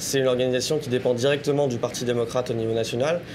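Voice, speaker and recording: Over noticeable background noise, a man speaks very fast at a medium pitch in a monotone, flat intonation. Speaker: political activist and prospective student. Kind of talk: interview.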